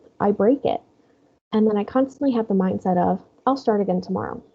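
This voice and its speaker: A woman speaks at medium pitch with ordinary pitch variation. Vocal fry marks her voice. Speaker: wellness webinar presenter. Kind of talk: webinar presentation. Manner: halting.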